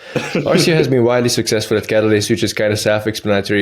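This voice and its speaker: Amid noticeable background noise, the speech runs at a very fast pace. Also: man. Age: 30s. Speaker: fitness coach. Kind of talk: podcast host talk. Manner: playful, teasing.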